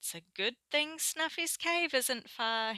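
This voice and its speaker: A woman adopts a put-on character voice, pitched high and delivered at a fairly slow pace. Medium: read story.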